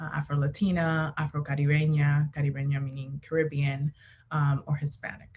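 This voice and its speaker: A woman's very deep, low voice with an American accent at a moderate pace. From Miami, Florida (Dominican family). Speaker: diversity facilitator. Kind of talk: workshop presentation.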